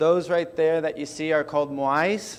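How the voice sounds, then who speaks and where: A man with an American accent talks at a moderate pace in a fairly high pitch. His intonation stays fairly even. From Chile. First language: Spanish. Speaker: startup founder. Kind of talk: conference talk.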